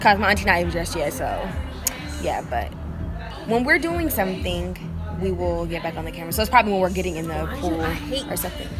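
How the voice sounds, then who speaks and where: Music plays in the background while a woman talks at a very fast pace. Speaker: vlogger. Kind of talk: casual vlog chat. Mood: cheerful, laughing. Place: street. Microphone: phone near.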